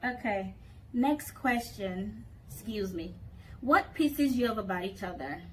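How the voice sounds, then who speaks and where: A woman at a fairly slow pace amid noticeable background noise. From Texas, Houston. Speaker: YouTuber. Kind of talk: casual chat. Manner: loud.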